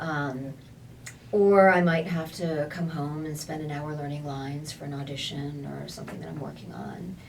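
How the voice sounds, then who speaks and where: At a moderate pace, a woman with a very deep, low pitch speaks with fairly even intonation and big swings in loudness. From United States. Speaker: voice actor. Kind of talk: interview answer.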